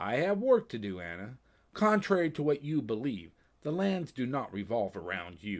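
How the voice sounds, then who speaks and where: Doing a put-on character voice, a man speaks at a moderate pace in a sing-song medium pitch with very wide pitch swings. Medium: read story. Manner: sing-songy.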